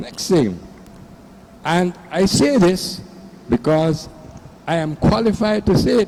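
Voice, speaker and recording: The speech moves at a very slow pace amid noticeable background noise. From Belize. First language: Belizean Creole. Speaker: audience member. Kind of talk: public Q&A comment.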